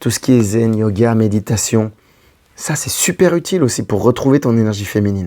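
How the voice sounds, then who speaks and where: A man speaks at a moderate pace in a medium pitch with a dark, mellow tone. His intonation is lively. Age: 40s. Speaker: relationship coach. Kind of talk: advice video monologue. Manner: casual, conversational.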